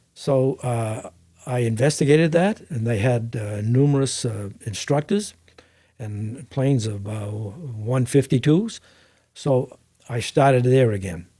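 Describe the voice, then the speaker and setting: Somewhat breathy and dark, mellow in tone, a man speaks at a fairly slow pace with a medium pitch and ordinary pitch variation. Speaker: private pilot. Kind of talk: interview answer.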